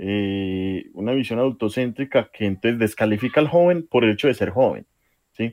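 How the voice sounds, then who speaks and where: With ordinary pitch variation and medium pitch, a man speaks at a moderate pace in an ordinary speaking voice. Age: 20s. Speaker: social worker and youth leader. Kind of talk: radio interview.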